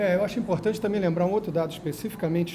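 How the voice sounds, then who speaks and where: There is audible room echo around a man's voice. His pitch is high, and his intonation stays fairly even. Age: 60s. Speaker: astrologer and former stage artist. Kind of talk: panel debate.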